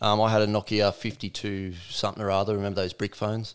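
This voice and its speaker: A man with an Australian accent, fairly low-pitched and fairly quick, in monotone, flat intonation on a very clean recording with a silent background. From Australia, New South Wales Central Coast. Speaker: gym owner. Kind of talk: casual interview.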